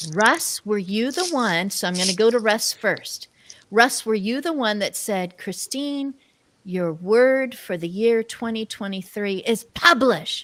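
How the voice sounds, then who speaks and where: This woman's voice is an unremarkable speaking voice, pitched fairly high. She talks at a fairly slow pace. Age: 60s. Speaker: talk show host. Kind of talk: casual chat.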